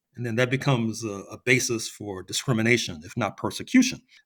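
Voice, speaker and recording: The recording is very clean, with a silent background. A man speaks fairly quickly, his pitch varying in an ordinary way. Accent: American. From US. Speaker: historian. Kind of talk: podcast interview. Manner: halting with repetitions.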